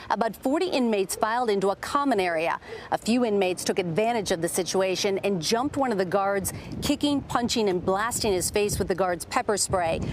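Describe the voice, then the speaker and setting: Noticeable background noise sits behind a woman's voice. Her loudness stays very even, and her pitch varies in an ordinary way. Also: medium pitch for a woman. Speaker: network news correspondent and anchor. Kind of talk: broadcast news reporting. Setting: news report on location and in interview.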